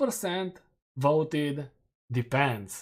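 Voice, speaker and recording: A man with a Romanian accent speaks in a very clean recording with a silent background. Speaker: gaming streamer. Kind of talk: live stream commentary. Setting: live stream.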